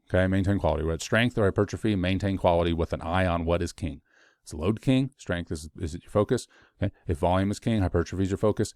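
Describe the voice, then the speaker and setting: The speech moves at a very fast pace with ordinary pitch variation, in a dry, close sound with no echo and a very clean recording with a silent background. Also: man, very deep, low pitch for a man. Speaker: fitness coach / educator. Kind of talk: educational monologue. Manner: rambling with fillers.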